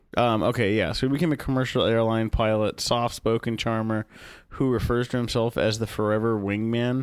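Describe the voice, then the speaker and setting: In a very clean recording with a silent background, a man speaks fairly quickly at a medium pitch, his loudness very even and his intonation fairly even. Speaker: podcast co-host. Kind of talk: casual chat. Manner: quiet, subdued.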